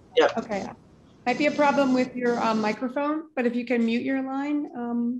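Amid noticeable background noise, a woman speaks at a moderate pace in a high pitch with fairly even intonation. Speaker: session moderator. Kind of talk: webinar moderation. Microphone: video call.

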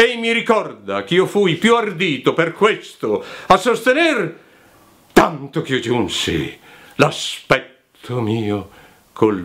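A man's fairly high voice at a very slow pace, with very wide pitch swings. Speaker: voice actor. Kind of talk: poetry reading. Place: home room.

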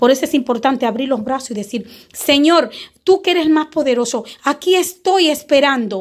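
Lively intonation marks a woman's high-pitched voice. The recording is very clean, with a silent background. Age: 40s. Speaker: spiritual guide. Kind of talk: spiritual teaching video.

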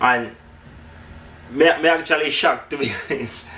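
A man speaks fairly slowly, with ordinary pitch variation. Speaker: family vlogger. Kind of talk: casual vlog chat. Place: home room. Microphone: camera far.

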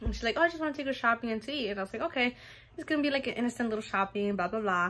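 Her intonation lively, a woman speaks at a very fast pace. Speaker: mother vlogger. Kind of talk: casual vlog chat. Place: home room. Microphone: phone near.

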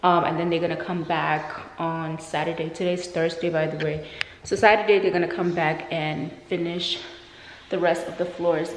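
A woman speaks at a moderate pace with a fairly low pitch. Room echo is audible. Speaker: vlogger. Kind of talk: casual vlog chat. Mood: excited, pleased. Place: home room. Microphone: phone near.

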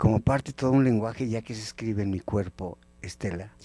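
Recorded dry with no echo, a man speaks at a fairly quick pace in a fairly low voice with a dark, mellow tone. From Mexico, Temascalcingo (State of Mexico); State of Mexico, Mexico. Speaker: anthropologist and magazine editor; guest. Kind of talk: educational TV interview. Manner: animated. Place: studio. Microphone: handheld.

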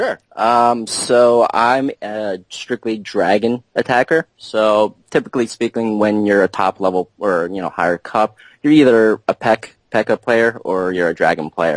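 A man with an ordinary speaking voice talks at a fairly slow pace with hardly any pauses, a fairly low pitch and ordinary pitch variation. The sound is dry and close with no echo, against a quiet background. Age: 20s. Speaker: top-ranked mobile game player. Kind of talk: interview.

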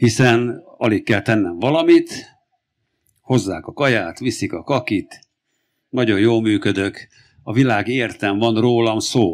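A man speaks at a very slow pace with ordinary pitch variation and long, frequent pauses. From Hungary. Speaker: farmer and family doctor; speaker. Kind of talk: public talk. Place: stage. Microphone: handheld.

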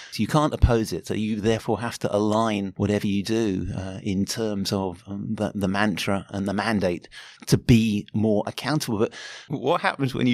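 The recording is very clean with a silent background, carrying a moderate pace and a British accent. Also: man. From Britain. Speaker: anthropology professor. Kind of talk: interview. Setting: conference. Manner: halting, repeats words.

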